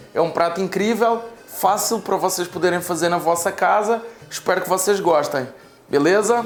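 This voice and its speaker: With music in the background, a man in a Portuguese accent speaks at a moderate pace in a high pitch with ordinary pitch variation. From Portugal. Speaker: chef and sommelier. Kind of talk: cooking tutorial.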